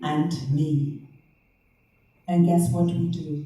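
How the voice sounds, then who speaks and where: Playful in tone, a woman speaks at a very deep, low pitch, somewhat breathy and dark, mellow. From half German, half Liberian, living in the UK. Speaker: spoken word poet. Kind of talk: poetry reading. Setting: live venue, poor sound. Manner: playful, sensual, celebratory.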